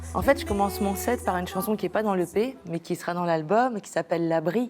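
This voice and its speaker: The speaker is a woman with a Spanish accent. She talks at a medium pitch. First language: Spanish (speaking French). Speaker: singer-songwriter. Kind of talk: interview. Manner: halting, many hesitations.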